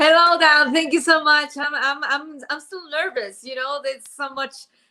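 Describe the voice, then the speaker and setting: A woman uses a raised, projected voice at a high pitch, moving at a moderate pace with fairly even intonation and big swings in loudness. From Mexico. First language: Spanish. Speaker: podcast host. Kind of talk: interview. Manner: halting, repeats words.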